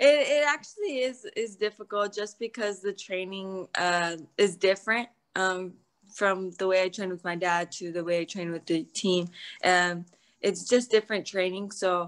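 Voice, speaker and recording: A woman talks with ordinary pitch variation. The background is quiet. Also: moderate pace. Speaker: interviewee. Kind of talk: interview answer. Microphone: video call.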